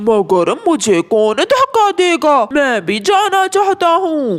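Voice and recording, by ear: This cartoonish character voice sits high and moves at a very slow pace. Its pitch swings very widely.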